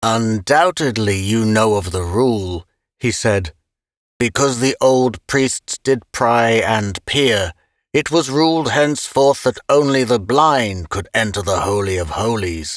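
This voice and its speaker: A man's growling, put-on character voice at a medium pitch, fairly slow pace and lively intonation, on a very clean recording with a silent background and a dry, close sound with no echo. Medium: read story. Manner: suspicious, blunt.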